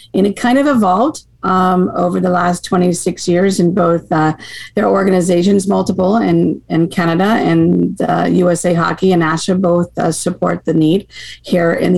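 Over noticeable background noise, a woman with an American accent talks at a moderate pace and medium pitch, her loudness very even. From Maine, US. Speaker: hockey association director. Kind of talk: casual interview chat.

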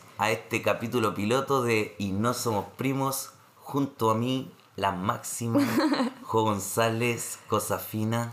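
Noticeable noise runs in the background as a man talks in a mid-range pitch. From Chile, Santiago (Renca). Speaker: podcast co-host. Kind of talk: casual chat.

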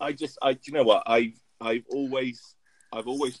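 In a normal speaking voice, a man keeps a moderate pace, and his pitch varies in an ordinary way. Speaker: podcast co-host. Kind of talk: casual chat.

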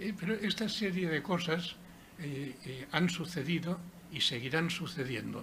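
A man's high, bright, sharp voice at a fairly slow pace, ordinary pitch variation and audible room echo. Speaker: author and former mayor. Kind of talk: book presentation talk.

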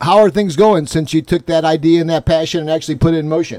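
A plain, everyday voice from a man, fairly high in pitch with fairly even intonation. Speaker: podcast host. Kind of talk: casual chat. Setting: studio.

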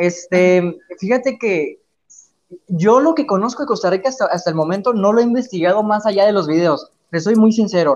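High-pitched male voice with very even loudness, ordinary pitch variation, and a moderate pace. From Mexico, Chihuahua (north). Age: 20s. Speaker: radio presenter and YouTuber. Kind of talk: casual chat.

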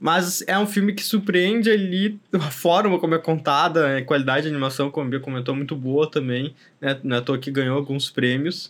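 A normal speaking voice at a moderate pace, with ordinary pitch variation and hardly any pauses. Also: man, fairly high pitch for a man. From southern Brazil. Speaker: podcast host. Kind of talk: casual chat.

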